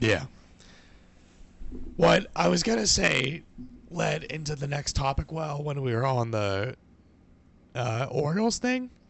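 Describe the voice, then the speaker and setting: Slow-paced and somewhat breathy, a man speaks with a fairly high pitch. His voice moves through very wide pitch swings, broken by long, frequent pauses. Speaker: sports comedy podcast co-host. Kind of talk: casual podcast conversation.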